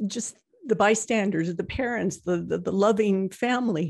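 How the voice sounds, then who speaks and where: She speaks at a fairly slow pace with a somewhat breathy voice and ordinary pitch variation. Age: 60s. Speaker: podcast co-host, parent of someone in addiction. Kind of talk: casual chat.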